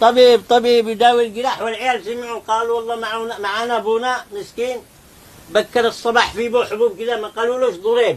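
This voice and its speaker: Here a man talks in a Taiz accent at an extremely high pitch. His intonation is monotone and flat, and his pace fairly quick. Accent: Taizzi Yemeni Arabic. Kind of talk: folk tale told in Taizzi dialect.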